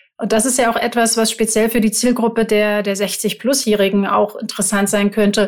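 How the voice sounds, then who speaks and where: Delivered at a moderate pace with hardly any pauses, the speech holds a very even loudness and a monotone, flat intonation. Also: woman, fairly high pitch for a woman. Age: 50s. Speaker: podcast co-host, advertising agency owner. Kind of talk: casual chat.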